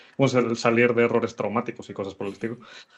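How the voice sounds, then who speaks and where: The speaker is a man with a medium pitch. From Venezuela. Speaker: programmer and content creator. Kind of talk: interview. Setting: live stream. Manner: halting.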